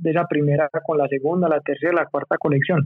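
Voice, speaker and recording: This man has a normal speaking voice at a fairly high pitch. His intonation is fairly even. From Medellín, Colombia, then USA from age 9. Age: 30s. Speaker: clothing brand co-founder. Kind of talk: casual interview chat.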